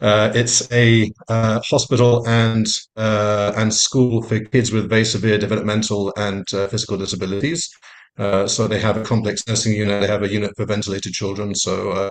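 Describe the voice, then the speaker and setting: A man at a fairly low pitch, monotone and flat in intonation, at a moderate pace against a quiet background. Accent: London. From London, England. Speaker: family doctor. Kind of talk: panel self-introduction. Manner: hesitant, many fillers.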